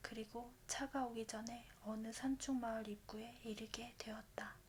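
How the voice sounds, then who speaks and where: Noticeable background noise is present. The talking proceeds at a fairly slow speed. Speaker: ASMR book reader. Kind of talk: bedtime book reading. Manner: soft-spoken.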